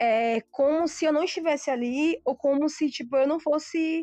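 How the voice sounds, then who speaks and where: Her pitch is high. The woman speaks with lively intonation. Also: dry, close sound with no echo. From southern Bahia, Brazil (Itacaré). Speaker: vegan food business owner. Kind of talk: casual chat.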